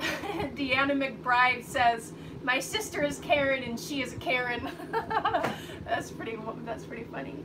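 A woman speaks slowly with few pauses, a high pitch and lively intonation, over clear background noise.

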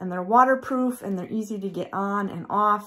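In a quiet background, a woman speaks at a moderate pace in a somewhat breathy voice with fairly even intonation. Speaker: homesteading vlogger. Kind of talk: casual vlog chat. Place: home room. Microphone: phone near.

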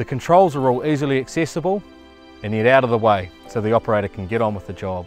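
Clear music plays in the background as a man with a fairly low pitch speaks in a dry sound with no echo. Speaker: presenter. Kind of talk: product walkaround presentation. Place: open country. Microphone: lapel.

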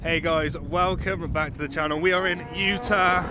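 A man talks at a moderate pace over loud background noise. The sound is dry, with no echo. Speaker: racing driver vlogger. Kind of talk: casual vlog chat. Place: street. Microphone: phone near.

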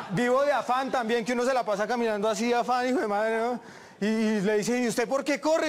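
This man speaks at a fairly quick pace. His pitch is extremely high. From Bogotá, Colombia. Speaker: stand-up comedian. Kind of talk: stand-up comedy routine. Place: stage.

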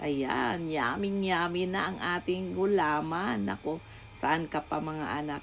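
A woman speaks very slowly in a very deep, low pitch. Her voice moves in very wide pitch swings. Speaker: home cook YouTuber. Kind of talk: cooking tutorial. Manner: warm, motherly, chatty.

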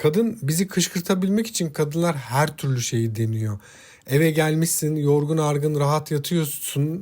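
A man's fairly high voice at a fairly slow pace, with ordinary pitch variation, in a very clean recording against a silent background. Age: 40s. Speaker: relationship advice YouTuber. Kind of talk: solo talk monologue to viewers. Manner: hesitant, many filler sounds.

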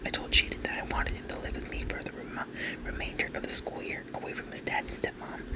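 The speaker is soft-spoken and talks at a very fast pace. The sound is dry with no echo, but the background noise is loud. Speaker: content creator. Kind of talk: reading a forum story aloud. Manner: soft, close ASMR reading voice. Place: home room.

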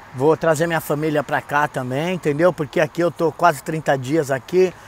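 In a dry recording with no echo and light background noise, a man speaks at a fairly slow pace with fairly even intonation. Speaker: tourist vlogger. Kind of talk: casual vlog chat. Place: street. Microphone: earbuds.

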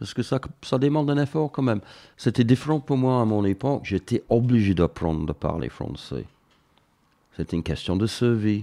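A man at medium pitch, moderate in pace, with lively intonation and long, frequent pauses. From northern England. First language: English (speaking French). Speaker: mountaineer and painter. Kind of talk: interview. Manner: halting, with many hesitations.

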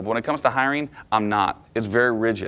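Fairly even in intonation, a man talks at a very fast pace. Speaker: management trainer. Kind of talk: lecture. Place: meeting room.

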